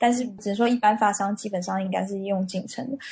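The voice belongs to a woman. It sounds somewhat breathy. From Taiwan. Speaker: marketing manager at a cosmetics company. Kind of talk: interview.

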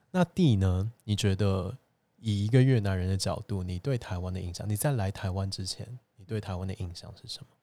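Fairly quick and fairly low in pitch, a man uses a normal speaking voice with ordinary pitch variation and big swings in loudness, on a very clean recording with a silent background. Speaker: podcast host. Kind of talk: interview-style casual chat. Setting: borrowed venue, indoor recording.

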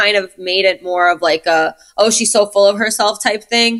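A woman with a New York accent, fairly high-pitched, at a moderate pace with ordinary pitch variation. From US Northeast, Brooklyn, New York. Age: 30s. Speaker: film and music video director. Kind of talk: casual interview chat. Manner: animated.

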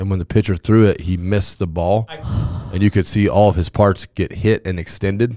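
In an American accent, a man speaks fairly quickly in a fairly low pitch, his dark, mellow tone recorded dry and close with no echo. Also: fairly even intonation. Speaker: high school football coach. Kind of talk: casual chat. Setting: studio. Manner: loud.

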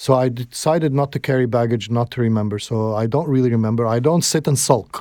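A man's dark, mellow voice at a medium pitch, very fast with hardly any pauses, fairly even in intonation, on a very clean recording with a silent background. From Egypt (Alexandria), moved to Canada at 12. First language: Arabic. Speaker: filmmaker and broadcasting executive. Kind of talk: interview conversation.

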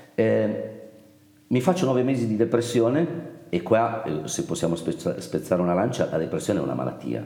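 Against noticeable background noise, a man at a medium pitch speaks at a moderate pace with very wide pitch swings. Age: 50s. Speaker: company founder. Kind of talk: interview.

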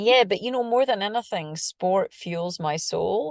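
Using a plain, everyday voice, a woman talks at a moderate pace and medium pitch, recorded with a dry, close sound and no echo. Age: 40s. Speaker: screenwriter and triathlete. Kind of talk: interview.

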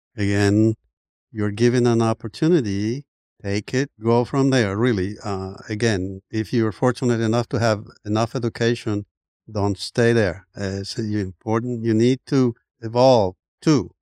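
Against a quiet background, a man with a Colombian accent speaks at a medium pitch in a dark, mellow tone with fairly even intonation. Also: fairly slow pace. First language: Spanish. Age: 70s. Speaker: immigrant and former basketball player. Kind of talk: casual interview storytelling. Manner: frequent hesitations and repeated words.

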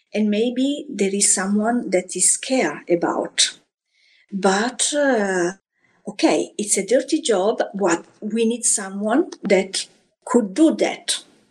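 In an Italian accent, a woman speaks very slowly at a medium pitch with lively intonation. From Italy, Florence. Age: 50s. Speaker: hotel housekeeping professional. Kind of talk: interview. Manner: halting, non-native phrasing.

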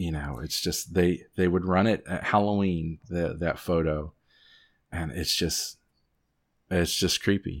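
A man in an Appalachian accent, very deep and low in pitch, with fairly even intonation. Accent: Southern Appalachian US. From Southwest Virginia. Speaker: podcast host guest. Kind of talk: casual chat, storytelling. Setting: remote recording.

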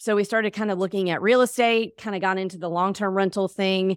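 An unremarkable speaking voice with an American accent at a fairly quick pace, in a very clean recording with a silent background. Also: woman. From US South, Mississippi. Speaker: real estate investor. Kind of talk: interview.

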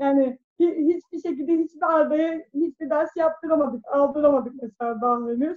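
A high-pitched woman at a fairly slow speed, her pitch varying in an ordinary way. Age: 30s. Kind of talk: interview. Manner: halting.

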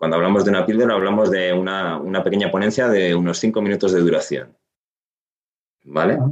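At a fairly quick pace, a man with a plain, everyday voice and fairly low pitch keeps a very even loudness and ordinary pitch variation. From Asturias, Spain (Gijón). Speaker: finance consultant and trainer. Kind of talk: interview.

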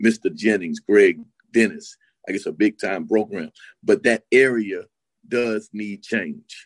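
The recording is dry and close with no echo as a man with an American accent speaks at a very slow pace with long, frequent pauses. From US South, Miami. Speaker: college basketball assistant coach. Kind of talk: casual chat.

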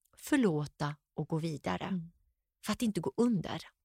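A woman speaks in an animated tone at a moderate pace with very wide pitch swings, in a dry, close sound with no echo on a very clean recording with a silent background. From Sweden, Gothenburg. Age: 50s. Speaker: entrepreneur. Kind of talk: interview.

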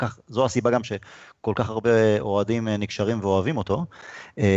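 A man talks in a medium pitch with a normal speaking voice and fairly even intonation. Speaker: podcast host. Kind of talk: casual chat. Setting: video call.

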